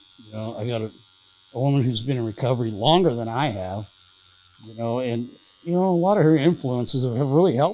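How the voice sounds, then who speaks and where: Speaking with an American accent, a man has a medium pitch, a dark, mellow tone and lively intonation, with big swings in loudness. His pace is very fast, yet he takes long, frequent pauses. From Southern California. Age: 60s. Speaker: recovering addict, former prisoner. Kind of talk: casual interview, recovery story. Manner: halting, many fillers.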